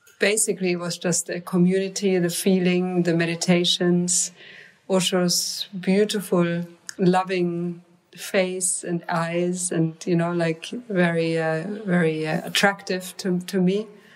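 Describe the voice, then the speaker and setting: Against noticeable background noise, a woman speaks fairly slowly in a fairly low, monotone voice with flat intonation. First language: non-English. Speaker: mantra musician. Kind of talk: interview conversation. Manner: halting.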